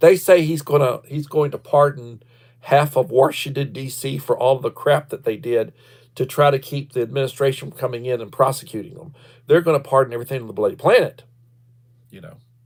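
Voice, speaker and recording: A man with a Texas accent talks at a fairly quick pace in a fairly high, somewhat breathy voice, his intonation fairly even but his loudness swinging widely. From Texas, Victoria. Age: 60s. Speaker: livestreamer, retired school principal. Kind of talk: casual livestream chat. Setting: livestream.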